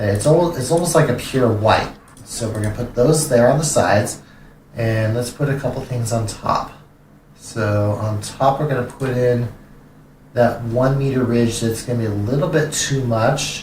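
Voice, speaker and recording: Over noticeable background noise and audible room echo, a man speaks with an American accent. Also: medium pitch for a man, ordinary pitch variation, moderate pace. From California. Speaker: streamer. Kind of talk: gameplay live stream commentary. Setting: live stream. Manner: halting, many fillers and repeats.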